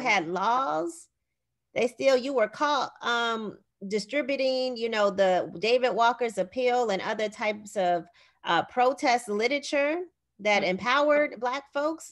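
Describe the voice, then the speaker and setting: Against a quiet background, a woman with an American accent and a plain, everyday voice speaks at a fairly slow pace with lively intonation. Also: fairly high pitch for a woman. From Gary, Indiana, USA. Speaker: associate professor of language and literacy. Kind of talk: interview answer.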